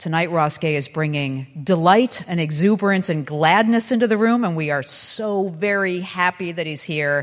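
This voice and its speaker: A woman speaks in a plain, everyday voice with a fairly low pitch and ordinary pitch variation. Her pace is moderate, with hardly any pauses. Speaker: radio host interviewer. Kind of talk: live onstage interview.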